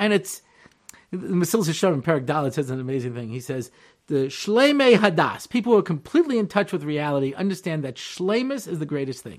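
On a very clean recording with a silent background, a man in a New York accent talks at a fairly quick pace with very wide pitch swings. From Long Island, New York. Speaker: rabbi. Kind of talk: lecture.

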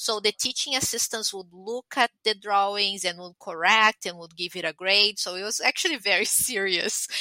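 A woman with a Portuguese accent speaks at a medium pitch, her tone bright and sharp, with ordinary pitch variation and big swings in loudness. The sound is dry and close with no echo, and she hardly pauses at all. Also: moderate pace. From Brazil. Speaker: pathologist. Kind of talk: interview.

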